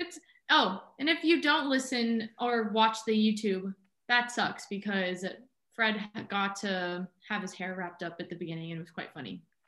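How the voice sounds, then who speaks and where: Bright and sharp in tone, a woman speaks with an American accent at medium pitch and a moderate pace. Her intonation is lively, with big swings in loudness. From Southern California. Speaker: marine biology student and wildlife photographer. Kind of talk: casual interview chat.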